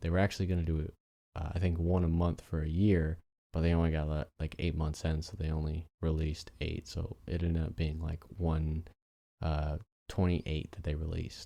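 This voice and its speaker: A man's very deep, low voice, dark and mellow in tone, flat and monotone at a moderate pace, in a very clean recording with a silent background. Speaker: podcast host. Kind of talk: solo podcast monologue.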